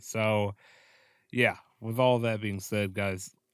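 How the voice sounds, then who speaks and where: The recording is very clean, with a silent background. A man speaks at medium pitch in a monotone, flat intonation. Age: 20s. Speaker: wrestling podcast host. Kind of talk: casual commentary review. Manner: subdued, low energy; hesitant, many fillers.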